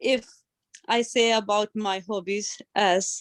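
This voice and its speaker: A woman speaks in an Indian accent at a fairly high pitch with fairly even intonation. Her pace is very slow, and the sound is dry and close with no echo. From India, Delhi. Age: 20s. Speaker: adult learner. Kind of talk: personal testimony.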